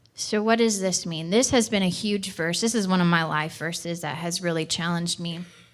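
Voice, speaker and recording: A woman talks at a fairly quick pace and a fairly low pitch, with hardly any pauses. Audible room echo follows her words. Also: ordinary pitch variation. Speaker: church missions director. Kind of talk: sermon. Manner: fast.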